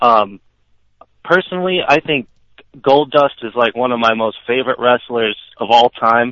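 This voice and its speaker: Here a man with an unremarkable speaking voice and medium pitch talks at a moderate pace with lively intonation. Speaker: caller, wrestling fan. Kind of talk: casual chat. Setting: phone call.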